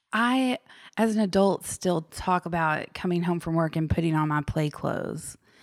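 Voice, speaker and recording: In a very clean recording with a silent background, a woman with an unremarkable speaking voice and fairly low pitch talks at a moderate pace, her loudness very even and her pitch varying in an ordinary way, the sound dry and close with no echo. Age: 30s. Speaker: podcast guest. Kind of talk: casual interview conversation.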